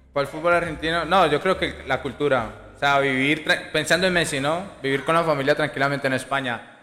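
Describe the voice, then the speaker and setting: The man's pitch sits fairly high, and his intonation stays fairly even. He talks at a fairly quick pace with very even loudness. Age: 20s. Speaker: youth football coach. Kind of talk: casual interview.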